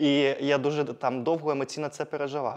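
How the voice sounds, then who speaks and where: A man talks with a fairly high pitch. Noticeable background noise is present. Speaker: interview show host. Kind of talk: interview conversation.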